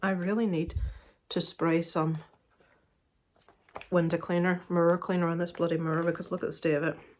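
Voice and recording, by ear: Long, frequent pauses break up a woman's speech in a Northern Irish accent. Her pitch is fairly low and her intonation monotone and flat. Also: fairly quick pace.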